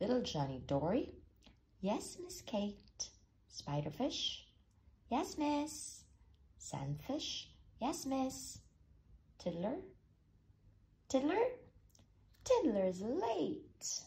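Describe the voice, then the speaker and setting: A put-on character voice, fairly high in pitch, at a very slow pace with long, frequent pauses. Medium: read story.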